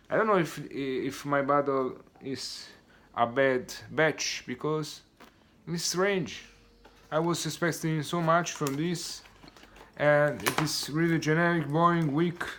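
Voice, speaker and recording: Against noticeable background noise, a man with a fairly high pitch talks at a very slow pace, his intonation fairly even and his pauses long and frequent. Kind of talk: product review talk to camera. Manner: stuttering, hesitant.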